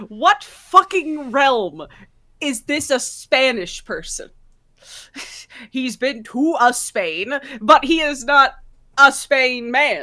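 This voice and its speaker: With an American accent, a woman uses a raised, projected voice at a high pitch, speaking at a very slow pace with lively intonation, big swings in loudness and long, frequent pauses, on a very clean recording with a silent background. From New York. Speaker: podcast co-host. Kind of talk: casual chat.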